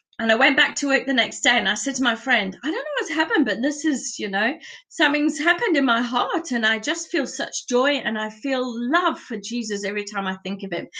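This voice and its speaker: Speaking in a raised, projected voice, a woman has a high pitch and a bright, sharp tone. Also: lively intonation, fairly quick pace. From UK and South Africa. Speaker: church member giving testimony. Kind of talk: testimony. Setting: video call from home.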